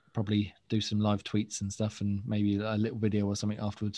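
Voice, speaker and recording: A man talks at a very fast pace with a dark, mellow tone and fairly low pitch. His intonation is monotone and flat, against a quiet background. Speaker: gaming podcast host. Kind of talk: casual chat. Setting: video call.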